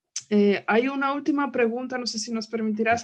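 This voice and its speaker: A woman speaks with a non-native accent at a moderate pace. Her pitch is fairly high. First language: not Spanish (speaking Spanish). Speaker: book club moderator. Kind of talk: book club conversation.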